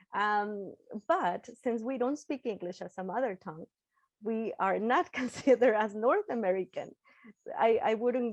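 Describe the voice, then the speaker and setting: Lively in intonation and fairly high in pitch, a woman speaks at a moderate pace with a Spanish accent, the sound dry and close with no echo. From Mexico. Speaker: English teacher and graduate student presenter. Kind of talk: webinar panel discussion.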